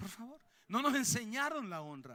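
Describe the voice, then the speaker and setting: In a Colombian accent, a man with a high pitch speaks fairly slowly in a raised, projected voice, his tone animated, bright and sharp. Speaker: pastor. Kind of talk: sermon. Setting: church.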